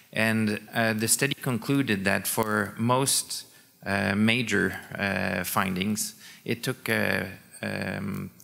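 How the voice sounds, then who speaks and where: A man speaks at a very slow pace with a bright, sharp tone and a fairly low pitch. His intonation is fairly even, with vocal fry. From Quebec, Montreal. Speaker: sport scientist. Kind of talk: conference talk. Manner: hesitant, many fillers.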